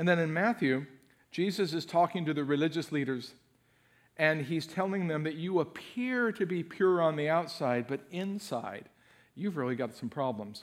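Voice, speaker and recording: In a very clean recording with a silent background, a man with a normal speaking voice and a fairly high pitch talks at a moderate pace with lively intonation. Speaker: guest preacher. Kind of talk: fervent prayer; sermon. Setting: church theater with congregation. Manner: earnest, heartfelt, pleading.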